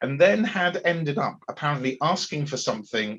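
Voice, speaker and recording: Heard here is a man with a County Durham accent and a fairly high pitch. His bright, sharp voice makes very wide pitch swings. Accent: northern English (Darlington). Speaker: agile coach and event host. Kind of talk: casual chat.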